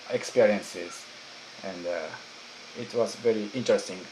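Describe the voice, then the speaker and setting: The speaker has a Japanese accent and ordinary pitch variation, with noticeable background noise. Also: man. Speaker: YouTuber. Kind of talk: interview questions.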